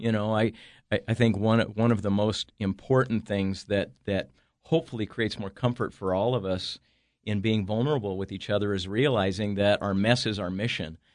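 With an American accent, this unremarkable speaking voice keeps a moderate pace and fairly even intonation. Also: man, quiet background. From Northern California. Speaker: author and entrepreneur. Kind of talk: casual interview. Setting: studio.

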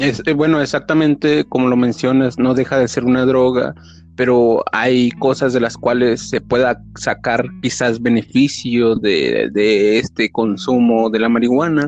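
In a plain, everyday voice, a man speaks at a fairly slow pace and a medium pitch, with hardly any pauses, fairly even intonation and very even loudness. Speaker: podcast host. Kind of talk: casual interview.

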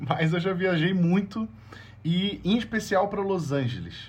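The delivery has a moderate pace. The voice sounds somewhat breathy. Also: man. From Brazil. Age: 30s. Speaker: journalist. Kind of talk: storytelling interview.

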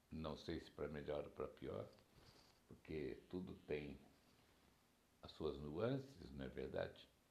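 Pausing long and often, a man talks at a very slow pace in a room with audible echo. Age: 60s. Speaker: podcaster. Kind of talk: personal reflection monologue. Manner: warm, laughing.

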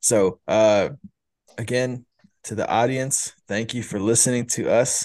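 A man at a fairly slow pace with ordinary pitch variation, against a quiet background. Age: 30s. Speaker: podcast host, father. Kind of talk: casual chat.

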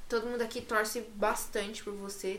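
Against noticeable background noise and audible room echo, a woman talks at a fairly high pitch and a fairly quick pace. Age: 20s. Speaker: podcast host. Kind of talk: casual chat.

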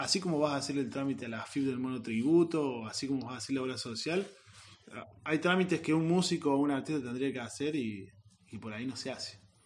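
Very fast speech from a man with a fairly high pitch and ordinary pitch variation. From Córdoba hills, Argentina. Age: 30s. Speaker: musician. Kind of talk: interview.

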